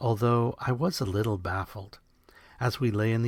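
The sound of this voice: Intonation stays fairly even throughout an unforced reading voice.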